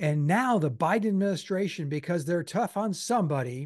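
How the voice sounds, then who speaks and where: A man's fairly high-pitched voice with very wide pitch swings. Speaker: editorial cartoonist, political podcast co-host. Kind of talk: casual political debate. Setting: home studio, remote.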